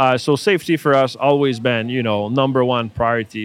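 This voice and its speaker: A man of medium pitch speaks in a Quebec accent. His pace is fairly quick against a quiet background. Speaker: robotics company founder. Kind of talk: interview. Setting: trade show booth.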